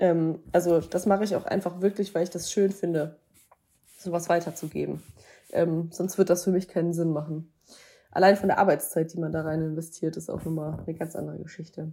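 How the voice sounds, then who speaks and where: The voice has a dark, mellow tone and a monotone, flat intonation, moving at a fairly quick pace. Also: woman, fairly low pitch for a woman. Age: 20s. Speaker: wedding and boudoir photographer. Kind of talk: interview.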